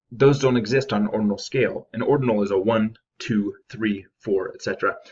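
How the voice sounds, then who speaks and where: A man at a moderate pace, somewhat breathy, with big swings in loudness. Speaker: statistics instructor. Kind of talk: tutorial.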